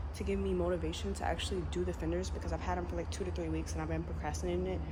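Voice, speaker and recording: A woman with a very deep, low pitch speaks at a very fast pace with fairly even intonation. Noticeable background noise and audible room echo fill the recording. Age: 20s. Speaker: car content creator. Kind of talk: vlog tutorial. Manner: casual.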